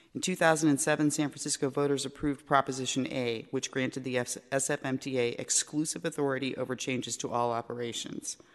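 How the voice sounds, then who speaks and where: At a very fast pace with hardly any pauses, a man talks in a fairly high pitch and fairly even intonation. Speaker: member of the public. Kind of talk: public comment. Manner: indignant.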